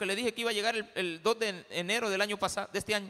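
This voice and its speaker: Projecting a raised voice with a bright, sharp tone, a man talks at a very fast pace. His pitch is high, and his intonation stays fairly even. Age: 50s. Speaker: pastor. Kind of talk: sermon.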